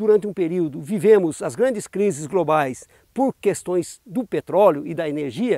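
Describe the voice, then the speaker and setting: A man's voice with very wide pitch swings, dry with no echo, over a quiet background. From Brazil, São Paulo state (Jarinu / Bragança Paulista); São Paulo state, Brazil. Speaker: union communications adviser; expert or local commentator. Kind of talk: interview statement on water crisis. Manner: formal. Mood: serious, concerned. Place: open country. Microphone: lapel.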